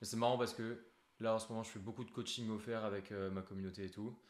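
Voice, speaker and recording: Flat and monotone, a man speaks at a very fast pace in a medium pitch. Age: 20s. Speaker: business coach, interviewer. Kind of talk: interview. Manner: casual.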